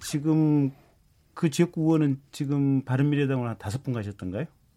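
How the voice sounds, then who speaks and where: In a very clean recording with a silent background, a man with a fairly high pitch speaks in a dark, mellow tone with ordinary pitch variation. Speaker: member of parliament. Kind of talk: political radio debate. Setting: radio studio.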